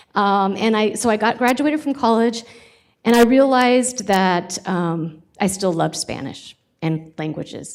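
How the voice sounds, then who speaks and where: A woman speaks at a moderate pace with an American accent and ordinary pitch variation. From California (Sacramento). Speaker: college president. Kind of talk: job interview presentation. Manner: hesitant, many fillers.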